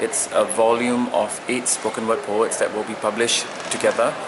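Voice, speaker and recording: Background noise is clearly present, and the room gives an audible echo to a man's voice. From Singapore. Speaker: poet. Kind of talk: interview. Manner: hesitant, with many fillers.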